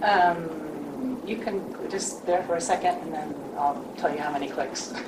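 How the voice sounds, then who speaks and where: Over noticeable background noise and audible room echo, a woman with a fairly low pitch talks at a fairly slow pace with lively intonation. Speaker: leadership coach. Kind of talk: panel presentation. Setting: live forum with audience. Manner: soft-spoken.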